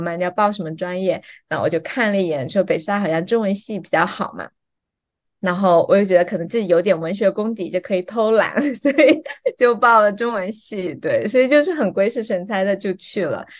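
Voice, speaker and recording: A woman speaks at a fairly quick pace with lively intonation and a southern Chinese accent. The background is quiet. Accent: southern Chinese Mandarin. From Fuzhou, Fujian, China. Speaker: PhD student, former international organization worker. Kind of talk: casual interview.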